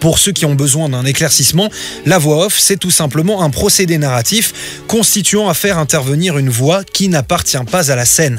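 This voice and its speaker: Over music in the background, a man with a fairly high pitch speaks at a moderate pace with lively intonation. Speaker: radio show host. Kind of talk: radio report narration.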